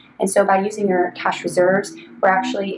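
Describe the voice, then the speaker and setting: The talking goes at a fairly quick pace over noticeable background noise. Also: woman. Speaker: financial planner. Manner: fast; hesitant, many ums.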